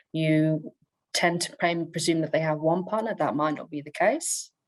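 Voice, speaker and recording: A woman in an Australian accent, fairly low-pitched and fairly slow, against a quiet background. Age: 40s. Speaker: conference presenter. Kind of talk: conference presentation. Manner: halting, many fillers.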